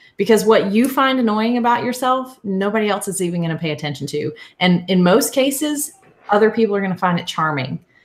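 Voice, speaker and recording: In a Southern US accent, a woman with a medium pitch and a somewhat breathy voice speaks at a fairly quick pace with lively intonation. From US South. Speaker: podcaster, co-host. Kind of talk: live video chat, coaching advice. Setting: live video stream.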